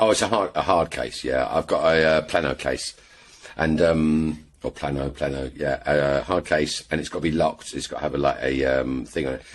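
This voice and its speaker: With an English accent, a man speaks at a very deep, low pitch, a moderate pace and fairly even intonation. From England. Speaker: airgun shooter. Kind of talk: casual chat.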